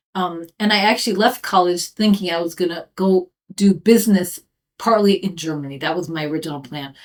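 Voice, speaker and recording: Talking fairly quickly, a woman uses a fairly low pitch. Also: ordinary pitch variation. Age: 50s. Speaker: professor. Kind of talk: interview answers. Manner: hesitant with fillers.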